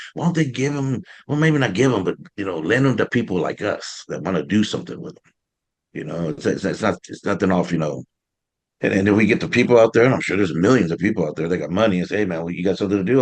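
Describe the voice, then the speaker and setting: A man talks at a very fast pace in a fairly low pitch, his intonation lively and his loudness swinging widely. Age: 60s. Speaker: community wellness program worker. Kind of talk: community meeting discussion. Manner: animated; halting, many repetitions.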